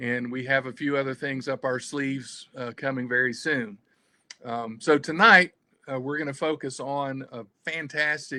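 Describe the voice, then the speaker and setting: Speaking at a moderate pace with a Southern US accent, a man uses a medium pitch, a bright, sharp tone and fairly even intonation over a quiet background. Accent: Southern US twang. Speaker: adventure travel company owner. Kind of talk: livestream presentation. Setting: video livestream. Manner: halting, many fillers.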